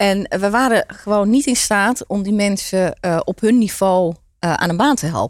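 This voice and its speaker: A woman's unremarkable speaking voice at a medium pitch, in a very clean recording with a silent background. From Netherlands, Turkish migrant family. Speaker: entrepreneur. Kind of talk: interview.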